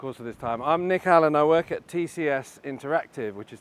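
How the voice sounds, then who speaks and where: With a British accent, a man speaks at a fairly quick pace and ordinary pitch variation. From Britain. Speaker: advertising and tech executive. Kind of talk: interview.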